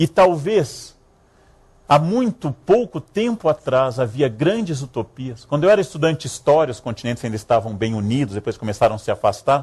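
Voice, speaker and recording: A man's fairly high, somewhat breathy voice at a moderate pace, with very wide pitch swings and a quiet background. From Rio Grande do Sul, Brazil. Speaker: historian, lecturer. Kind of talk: public lecture. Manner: humorous, ironic.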